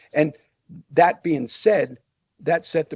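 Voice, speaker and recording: With an American accent, the voice has a dark, mellow tone, ordinary pitch variation and a moderate pace, in a dry, close sound with no echo. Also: man. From Pottsville, Schuylkill County, Pennsylvania. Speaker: former college basketball player and coach. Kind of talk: podcast interview. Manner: halting, many repetitions.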